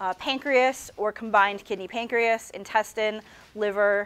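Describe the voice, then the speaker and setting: The woman talks fairly slowly, her pitch varying in an ordinary way. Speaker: university lecturer. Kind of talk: lecture. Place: classroom.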